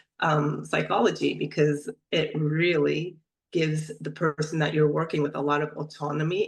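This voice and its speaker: Vocal fry in a woman's very deep, low voice, at a moderate pace with fairly even intonation. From Turkey, then US DC area from age 10. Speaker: somatic practitioner. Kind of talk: interview. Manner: halting.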